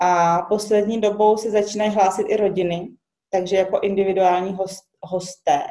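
Intonation is monotone and flat. The woman keeps a moderate pace. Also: medium pitch for a woman. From Czech Republic. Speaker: recycling workshop owner and biologist. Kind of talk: interview. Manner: halting.

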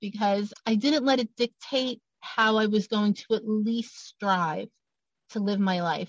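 With a New York accent, a woman speaks at a fairly slow pace in a medium pitch, somewhat breathy, with a dry, close sound and no echo. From Brooklyn, New York. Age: 50s. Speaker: author and abuse survivor advocate. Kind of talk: testimony.

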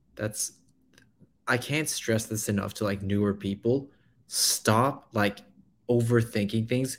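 Using an ordinary speaking voice, a man talks at a fairly slow pace and medium pitch with fairly even intonation. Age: 20s. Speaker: real estate investor. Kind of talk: casual chat on live stream. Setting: joined live stream remotely.

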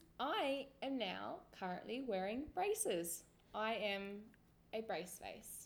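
A woman's fairly high voice at a very slow pace, with lively intonation and an Australian accent. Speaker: podcast co-host. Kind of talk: casual chat. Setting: online call.

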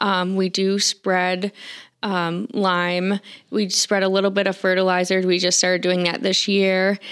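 Her medium-pitched voice stays very even in loudness, with monotone, flat intonation. The woman talks at a fairly slow pace. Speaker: farm store manager. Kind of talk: casual interview chat.

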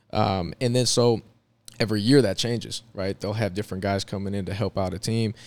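A man with an ordinary speaking voice and a fairly low pitch talks at a fairly quick pace with fairly even intonation, in a very clean recording with a silent background. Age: 30s. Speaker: former pro basketball player, recruiting manager. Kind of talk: casual chat.

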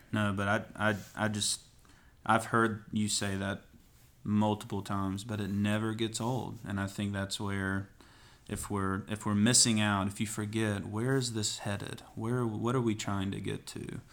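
In a Southern US accent, a man speaks fairly slowly with a fairly low pitch and monotone, flat intonation on a very clean recording with a silent background. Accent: Southern American. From East Tennessee. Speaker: pastor. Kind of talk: podcast interview.

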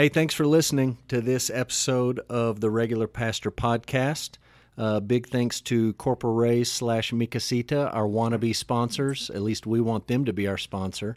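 A man with a Texan accent at medium pitch and moderate pace, fairly even intonation, dry and close with no echo, on a very clean recording with a silent background. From Texas. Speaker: pastor and podcast host. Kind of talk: casual chat; scripted outro.

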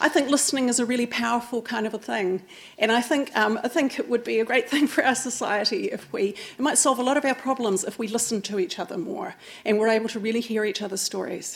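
A woman talks at a very fast pace with a New Zealand accent. Her voice sits fairly high and shows ordinary pitch variation. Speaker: oral historian. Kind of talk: public talk. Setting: stage with audience.

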